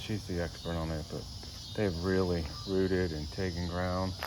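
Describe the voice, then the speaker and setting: A man talks in a very deep, low voice. The room echo is audible, and there is noticeable background noise. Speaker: gardening vlogger. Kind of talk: casual garden tour. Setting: outdoors. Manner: halting.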